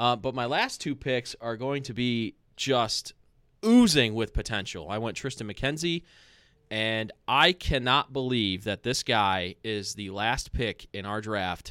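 Recorded very cleanly with a silent background and a dry, close sound with no echo, a man speaks with an American accent. His medium-pitched voice has a bright, sharp tone, a fairly slow pace and ordinary pitch variation. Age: 30s. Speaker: podcast host. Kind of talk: casual chat.

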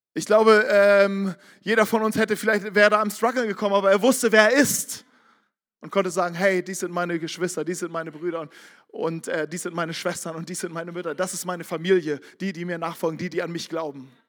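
Speaking in an animated tone, a man with a high pitch shows big swings in loudness. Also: fairly quick pace, very clean recording, silent background. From northern Germany, Barmstedt near Hamburg. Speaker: pastor. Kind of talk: sermon.

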